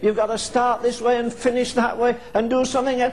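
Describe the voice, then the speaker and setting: A man's extremely high voice at a fairly quick pace, with fairly even intonation and noticeable background noise. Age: old. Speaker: preacher. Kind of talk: sermon. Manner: fervent.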